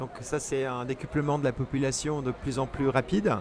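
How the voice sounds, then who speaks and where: Speech at a moderate pace carries noticeable background noise beneath it. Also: man. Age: 60s. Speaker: travel writer and cyclist. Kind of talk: interview. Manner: hesitant, many fillers.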